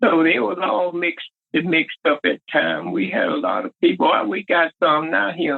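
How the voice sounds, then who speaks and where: A moderate tempo carries the words. They come in a Southern US accent. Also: man. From Southern United States. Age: 80s+. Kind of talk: interview answer.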